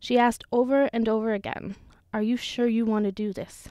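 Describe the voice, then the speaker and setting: A woman's normal speaking voice, fairly high in pitch, with a Canadian accent, fairly even intonation and a moderate pace, in a dry, close sound with no echo. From Sudbury, Ontario, Canada. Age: 20s. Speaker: social service worker. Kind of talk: personal digital story narration.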